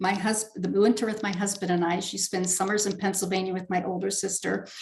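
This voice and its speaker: A woman speaks over noticeable background noise. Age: 60s. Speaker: spiritual author and speaker. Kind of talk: interview.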